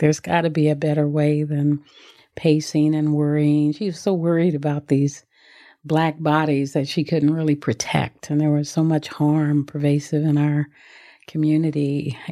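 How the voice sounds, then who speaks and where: A woman speaks in a monotone at a very deep, low pitch and a moderate pace. Her tone is dark and mellow, and the background is quiet. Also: very even loudness. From US West Coast, South Central Los Angeles. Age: 70s. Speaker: meditation teacher and author. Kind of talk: interview conversation.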